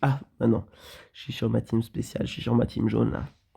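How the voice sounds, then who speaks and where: A man speaks at a medium pitch with a somewhat breathy voice and a dark, mellow tone. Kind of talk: gameplay commentary. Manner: casual, hesitant.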